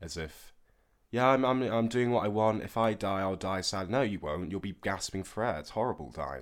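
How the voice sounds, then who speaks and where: A man's fairly low voice at a moderate pace, ordinary pitch variation, on a very clean recording with a silent background. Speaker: student housemate. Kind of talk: casual chat.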